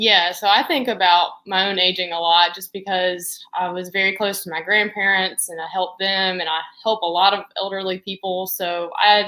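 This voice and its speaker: Bright and sharp in tone, a woman talks at a medium pitch with hardly any pauses. Her intonation stays monotone and flat. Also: moderate pace. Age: young. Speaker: occupational therapy assistant. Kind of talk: interview.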